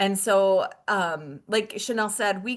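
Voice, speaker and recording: In an American accent, a woman uses a normal speaking voice at medium pitch with fairly even intonation. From Michigan. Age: 50s. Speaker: wellness product distributor. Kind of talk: webinar presentation.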